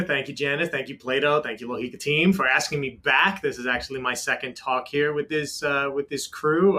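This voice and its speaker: Someone with a New York accent talks at a fairly quick pace with ordinary pitch variation. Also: man. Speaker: technology executive. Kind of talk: panel interview.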